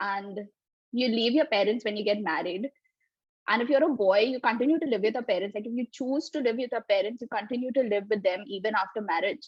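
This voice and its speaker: A woman with an Indian accent at a very fast pace. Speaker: developer. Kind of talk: interview.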